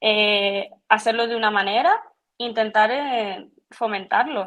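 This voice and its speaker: This woman has a Canarian accent and a fairly high pitch. Her intonation stays fairly even. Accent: Canarian with some La Palma flavour. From Canary Islands, Tenerife. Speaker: physiotherapist. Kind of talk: podcast interview. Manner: halting, frequent repetitions.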